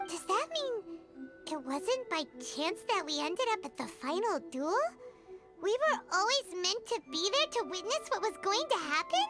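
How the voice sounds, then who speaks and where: Over clear background music, a put-on character voice talks at a moderate pace with an extremely high pitch. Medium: video game. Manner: bright, eager.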